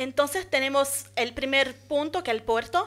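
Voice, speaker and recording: Speaking at a fairly slow pace in a Portuguese accent, a woman has a high pitch, a bright, sharp tone and ordinary pitch variation. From Brazil, São Luís (Maranhão, northeast); Maranhão, Brazil. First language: Portuguese (speaking Spanish). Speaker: architect and urban planner, master's student; presenter. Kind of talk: conference talk. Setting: conference hall with audience. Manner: halting, many fillers. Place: hall. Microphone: podium.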